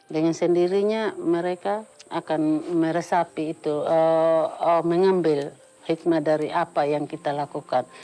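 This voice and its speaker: With music playing behind her, a woman talks at a fairly slow pace in a fairly low pitch, keeping her intonation fairly even. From Sumba, Indonesia. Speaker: textile weaver. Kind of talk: interview testimony.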